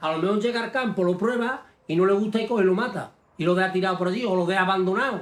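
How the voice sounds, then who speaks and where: A high-pitched male voice is heard. Its pitch moves in an ordinary way. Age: 60s. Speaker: galgo hunter and breeder. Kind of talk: documentary interview. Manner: animated.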